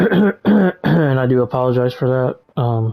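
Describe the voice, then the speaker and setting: With a dark, mellow tone, the man's voice sits at a medium pitch. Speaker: gamer vlogger. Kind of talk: casual monologue while gaming. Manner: halting, distracted.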